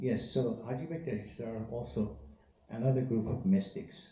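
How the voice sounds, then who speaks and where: A man's fairly slow delivery with ordinary pitch variation and audible room echo. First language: Persian. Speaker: Sufi teacher. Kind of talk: talk to a live audience. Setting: event hall with audience, live-streamed.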